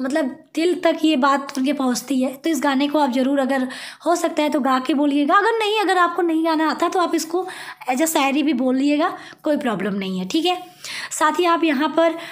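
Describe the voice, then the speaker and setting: A woman's high-pitched voice with ordinary pitch variation at a moderate pace, along with audible room echo and noticeable background noise. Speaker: teacher. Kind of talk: tutorial.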